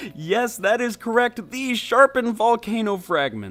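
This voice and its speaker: At a moderate pace, the speaker talks with music in the background. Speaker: gaming commentator. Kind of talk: video game commentary. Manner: casual, ranting.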